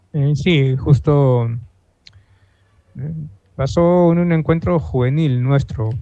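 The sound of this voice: A man talks at a slow pace in a dark, mellow tone. His pitch is fairly high, with ordinary variation.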